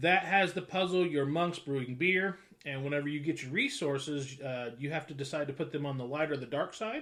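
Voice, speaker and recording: A man talks loudly at a fairly quick pace with hardly any pauses, his tone bright and sharp. His pitch is fairly high, with ordinary variation. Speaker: board game group host. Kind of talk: casual chat.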